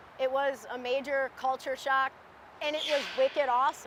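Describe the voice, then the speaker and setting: A woman's high pitch with ordinary variation and big swings in loudness, over noticeable background noise. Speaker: railcar repair worker. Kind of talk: interview testimony.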